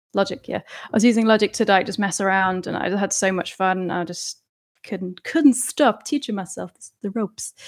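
A woman's medium-pitched voice with an English accent, ordinary pitch variation and a fairly quick pace, big swings in loudness, dry and close with no echo, on a very clean recording with a silent background. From UK. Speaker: musician and Twitch streamer. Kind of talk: interview. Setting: live stream.

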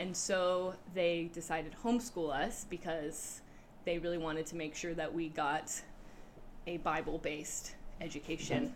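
A woman with an American accent talks at a moderate pace in an ordinary speaking voice, her pitch fairly low. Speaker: youth leader. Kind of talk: interview.

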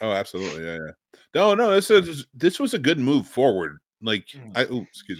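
Very wide pitch swings, big swings in loudness and vocal fry mark this fairly quick delivery with hardly any pauses, captured in a very clean recording with a silent background. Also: man, medium pitch for a man. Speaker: podcast host. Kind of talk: casual chat.

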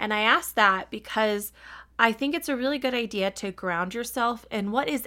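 A woman speaks in a bright, sharp, animated tone with ordinary pitch variation. The recording is very clean, with a silent background. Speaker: podcast host. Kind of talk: solo podcast monologue, reading own essay and advice. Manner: loud.

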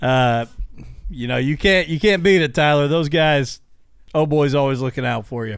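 In a plain, everyday voice, a man with an American accent speaks at a moderate pace and fairly high pitch, with ordinary pitch variation. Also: very clean recording, silent background. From Illinois. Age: 30s. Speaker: podcast host. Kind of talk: casual chat. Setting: studio.

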